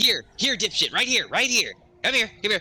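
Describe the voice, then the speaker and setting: Using a put-on character voice, a man speaks at an extremely high pitch. His pace is moderate. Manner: shouting, taunting.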